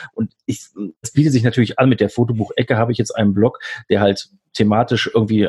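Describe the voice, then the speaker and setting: A somewhat breathy man talks at a fairly quick pace. His intonation stays fairly even. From Germany, Lower Rhine (Mönchengladbach). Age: 40s. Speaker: doctor and hobby photographer, blogger. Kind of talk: casual interview chat. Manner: halting, many filler sounds.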